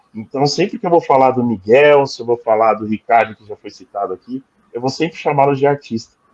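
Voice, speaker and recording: The recording is dry and close with no echo, carrying a man's medium-pitched voice with ordinary pitch variation. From Brazil, São Paulo. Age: 40s. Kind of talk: interview testimony. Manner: halting, many fillers.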